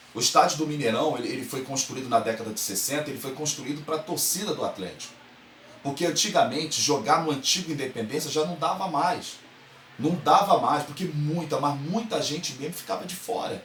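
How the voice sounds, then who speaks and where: In a Carioca accent, the speaker talks at a fairly quick pace with an animated tone and lively intonation, with audible room echo and noticeable background noise. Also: man, fairly high pitch for a man. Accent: carioca (Rio de Janeiro) Brazilian Portuguese. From Brazil, Rio de Janeiro. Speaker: football fan commentator, online show host. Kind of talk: opinion monologue to camera.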